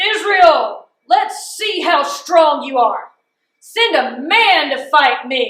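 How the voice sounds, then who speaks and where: A woman does a loud put-on character voice at an extremely high pitch and a very slow pace, with a slight echo. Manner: loud, angry, booming.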